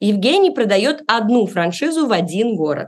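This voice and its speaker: This woman's fairly high voice swings very widely in pitch as she talks at a moderate pace. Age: 30s. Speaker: podcast host. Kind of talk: scripted narration; interview.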